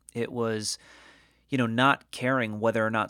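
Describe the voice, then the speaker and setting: A man talks at a moderate pace in an unremarkable speaking voice with fairly even intonation. The recording is very clean with a silent background and a dry, close sound with no echo. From New England, Connecticut. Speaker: podcast host, digital strategist. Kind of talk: solo podcast monologue. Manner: casual, with frequent fillers and repetitions.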